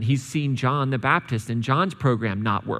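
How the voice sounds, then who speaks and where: A man's ordinary speaking voice, medium in pitch, at a moderate pace on a very clean recording with a silent background. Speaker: church preacher. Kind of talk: sermon, casual and conversational. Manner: relaxed, humorous.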